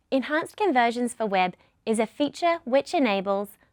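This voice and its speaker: A woman's fairly high voice with a New Zealand accent and lively intonation, dry and close with no echo. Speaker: product lead presenter. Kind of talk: webinar presentation. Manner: scripted, clear.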